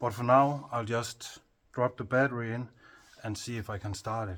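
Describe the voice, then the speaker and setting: The speaker talks at a fairly slow pace with a Danish accent. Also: man. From Denmark. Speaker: hobby mechanic and video creator. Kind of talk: casual work narration. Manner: halting, with fillers.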